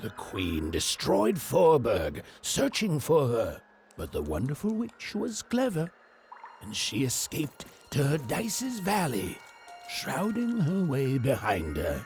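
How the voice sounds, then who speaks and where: Over background music, a man does a put-on character voice, fairly high in pitch and at a fairly slow pace. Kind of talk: gothic fairy-tale narration. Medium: video game.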